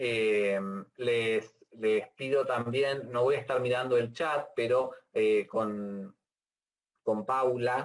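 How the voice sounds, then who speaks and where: At a very slow pace, a man with a medium pitch speaks with very even loudness and fairly even intonation. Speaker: university lecturer. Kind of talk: lecture. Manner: halting.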